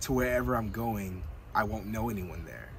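A man speaks at a moderate pace, the sound dry with no echo and light background noise behind him. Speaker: van life vlogger. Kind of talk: casual vlog chat. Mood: excited but a little nervous. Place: car.

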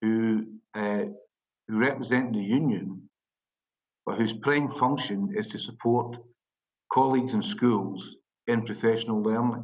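Speaking with a Scottish accent over a quiet background, a man keeps a fairly slow pace and fairly even intonation, with long, frequent pauses. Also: medium pitch for a man. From Scotland. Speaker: teacher union representative. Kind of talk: webinar presentation. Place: office. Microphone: video call.

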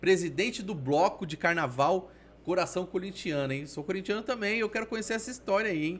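Lively in intonation, a man with a high voice speaks at a fairly quick pace. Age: 30s. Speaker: podcast host. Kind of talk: casual interview. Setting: studio. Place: studio. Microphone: studio mic.

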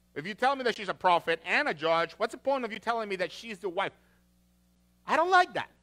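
A man projects his high, bright, sharp voice at a very fast pace. His pitch swings very widely against a quiet background. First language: not English. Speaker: pastor. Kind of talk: sermon. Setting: church. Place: church.

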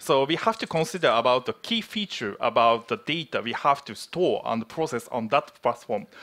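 A man's bright, sharp voice in a Japanese accent, at a moderate pace with very wide pitch swings. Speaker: platform engineer. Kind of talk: conference presentation. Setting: stage with audience. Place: hall.

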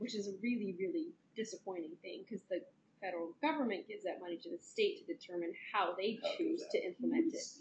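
At a very fast pace, a woman with a fairly high, somewhat breathy voice swings her pitch very widely over light background noise. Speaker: audience member. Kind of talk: audience question. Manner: halting. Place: meeting room.

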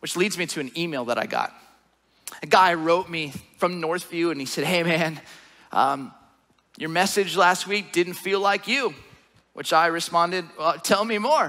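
With a bright, sharp tone, a man talks at a moderate pace, taking long, frequent pauses, over a quiet background. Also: ordinary pitch variation. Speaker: pastor. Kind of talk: sermon. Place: church. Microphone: headset.

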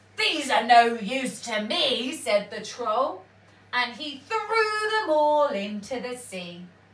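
Natural reading voice, nothing more.

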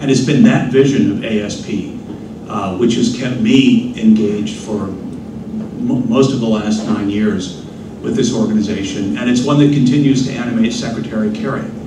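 A man at medium pitch and a moderate pace, with ordinary pitch variation, audible room echo and noticeable background noise. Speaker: panel moderator, think tank president. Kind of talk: moderated panel discussion. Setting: stage with audience. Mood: warm, appreciative. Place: hall. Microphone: podium.

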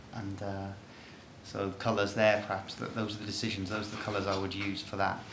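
Over noticeable background noise and audible room echo, a man speaks fairly quickly at a fairly low pitch in a monotone, flat intonation. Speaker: artist. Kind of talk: informal presentation of own artwork. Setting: art studio. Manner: hesitant, many fillers.

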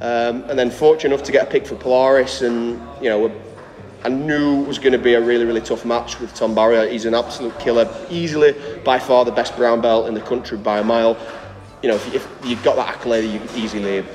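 Over light background noise, a man speaks at a very fast pace with fairly even intonation. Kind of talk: interview answer. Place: gym.

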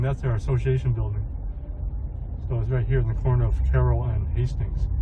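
The intonation stays monotone and flat. Background noise is noticeable. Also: man. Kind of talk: commentary. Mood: calm, concerned. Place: car. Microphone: phone near.

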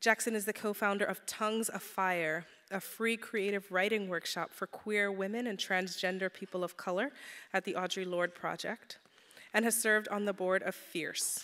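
A woman's bright, sharp tone comes through at a moderate pace with fairly even intonation. The background is quiet. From St. Croix. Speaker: event organizer. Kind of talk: formal introduction. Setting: stage with audience. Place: hall. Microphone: podium.

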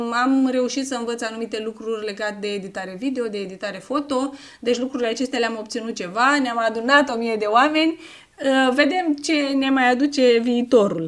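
Over a quiet background, a woman speaks high-pitched at a fairly quick pace, her pitch varying in an ordinary way. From Romania, Tecuci, Galați county; Romania. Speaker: YouTuber. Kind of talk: casual vlog Q&A. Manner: animated. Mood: warm, grateful. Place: home room.

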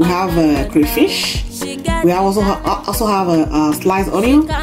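A woman talks at a moderate pace. Behind her, clear music in the background can be heard. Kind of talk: cooking tutorial. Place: kitchen. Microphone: phone near.

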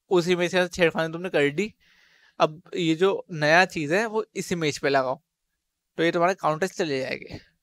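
Over a quiet background, a man with a high pitch speaks at a moderate pace with fairly even intonation, the sound dry with no echo. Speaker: coding tutorial youtuber. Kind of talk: tutorial. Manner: casual. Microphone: headset.

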